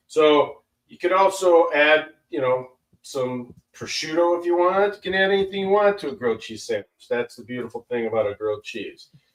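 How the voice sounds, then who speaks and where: With a relaxed tone and a high pitch, a man moves at a fairly quick pace, making very wide pitch swings and big swings in loudness. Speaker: chef. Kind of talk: cooking demonstration. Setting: livestream charity broadcast. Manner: casual, relaxed.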